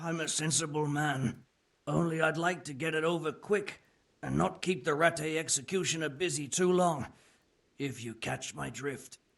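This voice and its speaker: A man puts on a raspy character voice at a fairly high pitch. He keeps a moderate pace. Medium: video game. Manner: coarse, colloquial.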